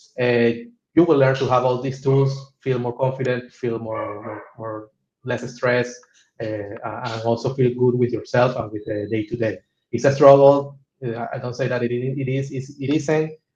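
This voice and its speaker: The man's voice is medium in pitch and somewhat breathy, with a monotone, flat delivery. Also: moderate pace. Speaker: coaching client, type 1 diabetic. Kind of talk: testimonial interview. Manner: halting, many repetitions and fillers.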